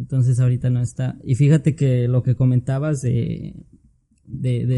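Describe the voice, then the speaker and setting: At a moderate pace, a man speaks with a medium pitch and a somewhat breathy, dark, mellow tone. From Tlaxcala, Mexico. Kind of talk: casual chat.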